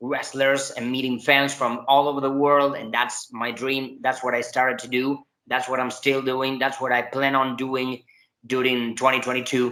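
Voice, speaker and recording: Talking at a moderate pace with a Spanish accent, a man at medium pitch keeps his intonation monotone and flat. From Argentina, Buenos Aires. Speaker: professional wrestler. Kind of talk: interview. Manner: halting, many fillers and restarts.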